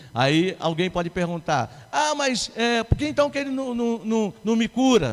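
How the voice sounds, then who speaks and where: A man with a high pitch speaks at a fairly slow pace, his pitch swinging very widely. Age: 60s. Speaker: pastor. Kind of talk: sermon.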